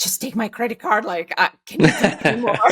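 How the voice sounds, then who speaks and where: Speaking with a Lithuanian accent, a woman uses a fairly high pitch. Her pace is moderate, and her pitch varies in an ordinary way. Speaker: entrepreneur. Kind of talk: interview. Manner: halting.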